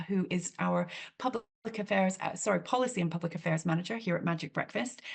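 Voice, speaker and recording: A woman's voice comes through somewhat breathy. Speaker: charity chief executive. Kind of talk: webinar introduction. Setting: video call webinar. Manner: frequent fillers.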